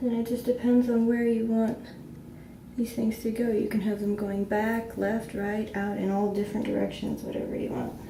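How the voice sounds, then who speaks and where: A woman speaks at a moderate pace in a fairly high pitch with monotone, flat intonation. Audible room echo is present. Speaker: beauty vlogger. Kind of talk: tutorial. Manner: casual, chatty.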